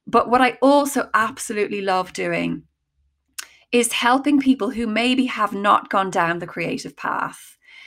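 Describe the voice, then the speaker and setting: On a very clean recording with a silent background, a woman speaks fairly slowly at a fairly high pitch, with vocal fry and ordinary pitch variation. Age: 40s. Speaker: creative coach and actor. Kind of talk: casual interview chat.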